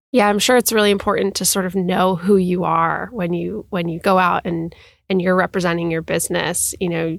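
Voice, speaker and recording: On a very clean recording with a silent background, a woman with an ordinary speaking voice talks at a moderate pace and a fairly low pitch, with fairly even intonation. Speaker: podcast host. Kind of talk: interview.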